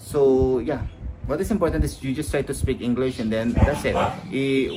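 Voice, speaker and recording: A man with a Filipino accent speaks at a moderate pace, with medium pitch and ordinary pitch variation. The room has audible echo, and there is noticeable background noise. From Philippines. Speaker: high school teacher. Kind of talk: lecture. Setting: live stream. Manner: halting.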